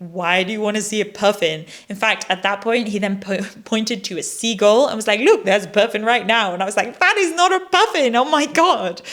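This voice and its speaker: Through noticeable background noise, a woman's fairly high voice moves at a fairly quick pace with lively intonation. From Netherlands. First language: Dutch. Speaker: travel vlogger. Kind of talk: casual vlog narration.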